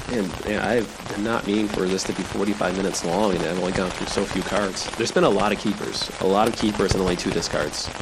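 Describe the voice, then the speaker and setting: Delivered at a very fast pace with hardly any pauses, the speech has fairly even intonation over noticeable background noise. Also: man, fairly low pitch for a man. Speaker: sleep podcast host. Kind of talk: rambling stream-of-consciousness monologue. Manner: long-winded, rambling.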